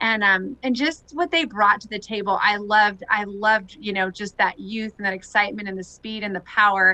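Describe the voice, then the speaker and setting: Loud and bright with a sharp edge, a woman with a Californian accent talks at a medium pitch with ordinary pitch variation. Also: hardly any pauses. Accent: General American, Californian. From Southern California. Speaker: retired Olympic softball player. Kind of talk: interview. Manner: loud and positive.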